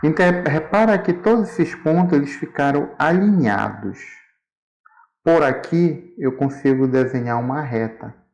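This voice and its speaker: Lively intonation marks this man's fairly high voice. He speaks at a fairly slow pace. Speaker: school math teacher. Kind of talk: tutorial.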